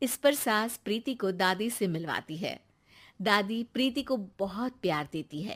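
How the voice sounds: Her tone fairly bright and her pitch medium, a woman speaks at a fairly slow pace with lively intonation.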